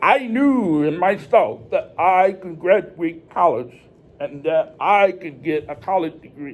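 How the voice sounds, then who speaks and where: A man's high voice at a fairly slow pace, with lively intonation and big swings in loudness. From northern Illinois, Rockford. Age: 30s. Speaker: deaf presenter. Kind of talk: presentation to students. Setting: church.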